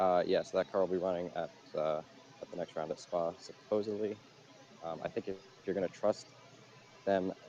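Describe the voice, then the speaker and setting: A man speaks with a very deep, low pitch and fairly even intonation. His loudness swings widely, with long, frequent pauses. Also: fairly quick pace. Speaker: motorsport podcast co-host. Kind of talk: casual chat. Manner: hesitant with many fillers. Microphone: quiet levels, boosted in post.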